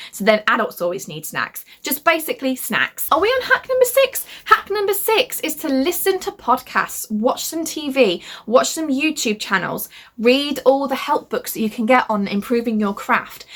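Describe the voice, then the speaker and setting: A loud woman with a high voice and very wide pitch swings, at a moderate pace, over noticeable background noise. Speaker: young adult fantasy author. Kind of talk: casual talk to camera. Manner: loud, hyper.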